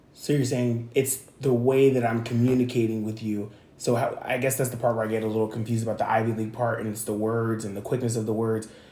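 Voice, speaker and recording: Amid audible room echo, a man races at a very fast pace in a somewhat breathy, dark, mellow voice of medium pitch and monotone, flat intonation. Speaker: channel owner discussing coming out. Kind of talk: casual chat.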